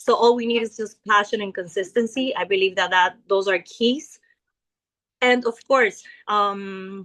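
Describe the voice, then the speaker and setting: A woman talks with a Spanish accent. Her pace is fairly slow and her intonation fairly even. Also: medium pitch for a woman. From Ecuador. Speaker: network marketing leader. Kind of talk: business pitch testimony. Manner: hesitant with fillers.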